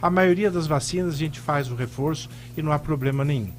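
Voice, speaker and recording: Music plays behind a man speaking at a moderate pace. His voice sits fairly high for a man, with ordinary variation in pitch. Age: 60s. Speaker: pulmonologist. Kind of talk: radio interview.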